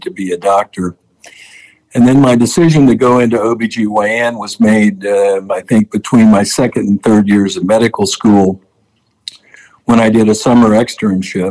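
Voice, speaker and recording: Speaking at a moderate pace, a man has a fairly low pitch and a dark, mellow tone. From US Midwest, southern Illinois. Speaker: gynecologic oncologist. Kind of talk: interview.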